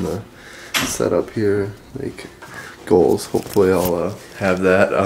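Over noticeable background noise, a man speaks at a fairly slow pace with a fairly low pitch and ordinary pitch variation. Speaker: vlogger. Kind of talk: casual vlog chat. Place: home room. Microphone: phone near.

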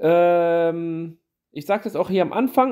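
This man's voice sits high in pitch. His pitch varies an ordinary amount. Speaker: YouTuber reviewing small channels. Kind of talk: casual channel review monologue. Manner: hesitant, many fillers.

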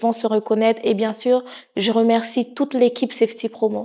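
Against a quiet background, a woman speaks at a moderate pace with monotone, flat intonation. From Haitian heritage. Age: 30s. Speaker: nursing assistant and charity president. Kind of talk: interview monologue. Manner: hesitant with many fillers. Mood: warm, sincere. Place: studio. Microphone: lapel.

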